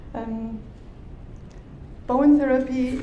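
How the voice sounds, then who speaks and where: Someone with an Austrian accent is heard amid noticeable background noise and audible room echo. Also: woman. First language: German. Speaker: bodywork therapist. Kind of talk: conference talk. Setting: conference stage with audience.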